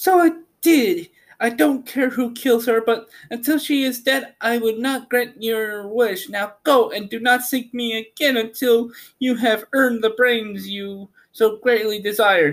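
In a put-on character voice, a man speaks at an extremely high pitch. His pace is fairly slow, and the recording is very clean with a silent background. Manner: sweet but cold.

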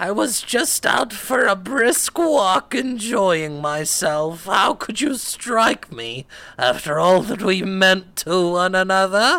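A put-on character voice at a middle pitch, fairly slow and with hardly any pauses.

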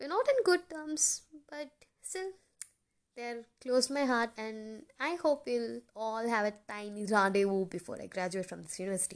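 A woman speaks at a moderate pace with fairly high pitch. Her pitch swings very widely and her loudness shifts a lot. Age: 20s. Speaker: podcaster and engineering student. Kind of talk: casual monologue. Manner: informal, laughing.

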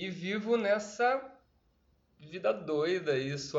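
There's audible room echo as a man speaks, somewhat breathy, with lively intonation. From Brazil, Campinas (São Paulo state). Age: 30s. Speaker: actor and PE teacher. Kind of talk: casual interview chat.

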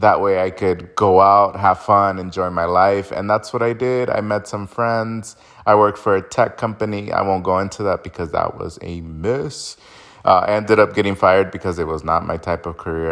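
Using a normal speaking voice, a man with a fairly low pitch keeps a moderate pace and fairly even intonation. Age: 20s. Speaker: podcast host. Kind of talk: casual monologue.

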